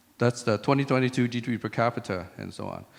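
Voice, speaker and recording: At a fairly quick pace, a man speaks with a medium pitch and ordinary pitch variation. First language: French. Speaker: tech CEO and conference speaker. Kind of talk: conference talk. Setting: stage with audience. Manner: conversational.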